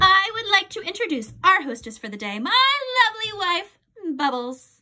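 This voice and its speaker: Squeaky and extremely high in pitch, a woman's put-on character voice fills the clip. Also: moderate pace. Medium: read story. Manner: pompous.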